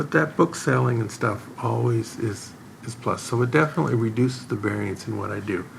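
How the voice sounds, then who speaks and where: Noticeable background noise sits behind a man who talks at a fairly quick pace, with a medium pitch and ordinary pitch variation. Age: 70s. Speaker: professional video poker player and author. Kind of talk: interview. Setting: in-person sit-down interview.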